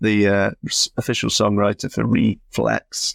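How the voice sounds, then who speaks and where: In a London accent, a man with a fairly low voice speaks very slowly, captured with a dry, close sound with no echo on a very clean recording over a silent background. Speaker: podcast host. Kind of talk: casual chat.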